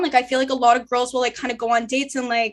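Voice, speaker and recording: A loud, high-pitched woman talking very fast in a very clean recording with a silent background. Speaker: law student and podcast host. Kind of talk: casual chat.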